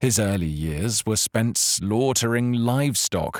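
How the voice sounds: Lively intonation in a natural reading voice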